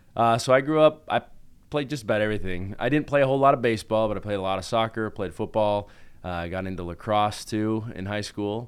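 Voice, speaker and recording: A man speaks at a very fast pace with a fairly low pitch and ordinary pitch variation. The recording is very clean, with a silent background. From Utah, Salt Lake City. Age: 30s. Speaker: orthodontist and band singer. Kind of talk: casual interview.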